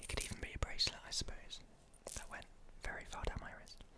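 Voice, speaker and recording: Noticeable background noise runs beneath a man's whisper. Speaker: ASMR content creator. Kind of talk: ASMR personal attention, soft-spoken show-and-tell. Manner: soft-spoken, whispery.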